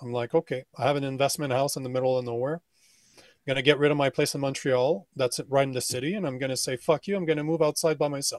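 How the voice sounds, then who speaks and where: The man's fairly high voice moves at a very fast pace, with a dry, close sound and no echo. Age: 40s. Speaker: men's coach and podcast host. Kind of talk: casual chat. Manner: animated.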